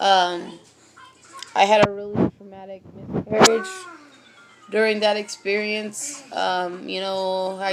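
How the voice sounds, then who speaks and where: Over music in the background, a woman speaks at medium pitch with an American accent. Her delivery is monotone, with flat intonation, at a very slow pace. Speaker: vlogger. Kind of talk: personal testimony. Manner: halting, many fillers.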